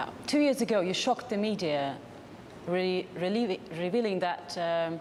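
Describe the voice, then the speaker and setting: Noticeable background noise accompanies a woman speaking at a moderate pace, with a medium pitch and ordinary pitch variation. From Russia. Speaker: reporter. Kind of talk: interview.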